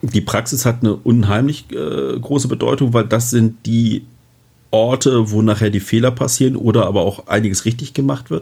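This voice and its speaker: A man's somewhat breathy voice carries a dark, mellow tone at a medium pitch. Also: ordinary pitch variation, moderate pace. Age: 40s. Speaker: fire protection manager. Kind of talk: interview.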